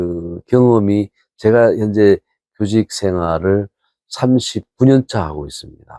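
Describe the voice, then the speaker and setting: A man speaks in a fairly low pitch with a dark, mellow tone and ordinary pitch variation. The sound is dry and close, with no echo. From South Korea, North Gyeongsang (Mungyeong). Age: 60s. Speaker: professor. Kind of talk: interview.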